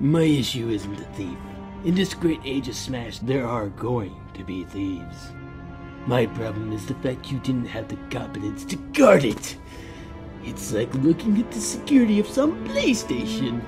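A man's put-on character voice over clear background music. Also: medium pitch for a man, moderate pace. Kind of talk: comic fan dub. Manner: touchy, menacing, pompous.

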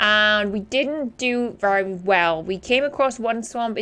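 Listen to a woman speaking. Her intonation is lively. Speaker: gaming youtuber. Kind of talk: casual gameplay commentary. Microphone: studio mic.

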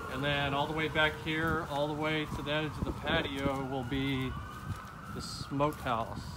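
A man speaks over loud background noise. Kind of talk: casual vlog chat. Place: street. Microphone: phone near.

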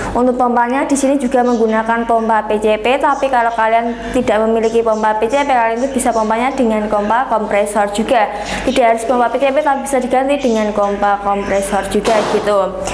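Over light background noise and audible room echo, a woman speaks at a fairly quick pace with hardly any pauses, her fairly high pitch carrying fairly even intonation at very even loudness. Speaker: online airgun shop seller. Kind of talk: sales pitch. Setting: video review in front of airguns. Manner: pushy, repeatedly urging viewers to watch to the end; fast, rambling, repetitive product-spec patter. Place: shop.

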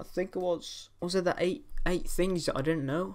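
The pace of this man's speech is moderate. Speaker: reaction video creator. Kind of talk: casual vlog chat. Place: home room.

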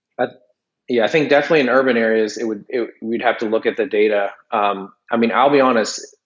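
This man talks very fast at a medium pitch, keeping his intonation fairly even. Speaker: civil engineer and drone program manager. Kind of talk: casual interview.

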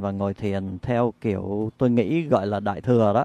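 Over a dry, close sound with no echo, a man speaks at a fairly slow pace and medium pitch in a dark, mellow tone. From Vietnam. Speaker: meditation practitioner, interviewee. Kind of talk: interview testimony. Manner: halting, with fillers.

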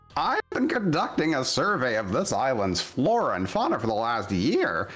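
Someone speaks at a moderate pace in a put-on character voice. Faint music plays in the background. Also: man, medium pitch for a man. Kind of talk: reading game dialogue aloud.

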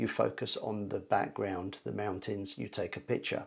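A man speaks at a moderate speed, with little sound behind him. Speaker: photography teacher. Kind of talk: tutorial. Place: home room. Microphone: lapel.

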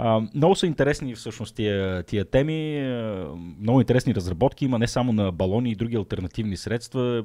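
Against a quiet background, a man speaks with a fairly low pitch and a dark, mellow tone. His intonation is lively and his pace moderate. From Bulgaria, Shumen; Bulgaria. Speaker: science podcast host. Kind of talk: casual chat. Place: studio. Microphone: studio mic.

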